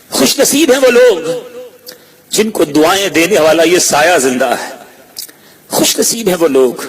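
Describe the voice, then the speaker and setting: Noticeable background noise sits under this man's voice. He speaks at a high pitch with very wide swings up and down. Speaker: Islamic preacher. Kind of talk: religious sermon. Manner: emotional, emphatic.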